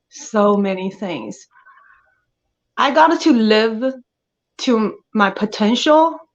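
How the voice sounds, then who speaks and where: A woman with a strong Chinese accent talks very slowly, leaving long, frequent pauses. Her voice is fairly high, with lively intonation. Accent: thick Chinese. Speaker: actress. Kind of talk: interview. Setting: podcast. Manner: hesitant, with fillers.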